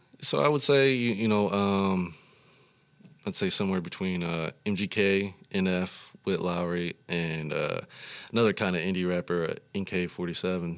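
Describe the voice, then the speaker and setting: At a fairly slow pace and with ordinary pitch variation, the voice comes through on a very clean recording over a silent background. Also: man, very deep, low pitch for a man. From US Midwest, Rockford, Illinois. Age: 30s. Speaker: rapper. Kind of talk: interview. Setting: studio.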